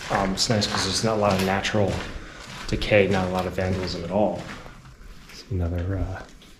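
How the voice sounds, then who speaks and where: A man's very deep, low voice, fairly quick yet broken by long, frequent pauses, monotone and flat, with audible room echo and noticeable background noise. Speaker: urban explorer and vlogger. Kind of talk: walkthrough vlog narration. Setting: indoors in an abandoned building. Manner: casual with many fillers.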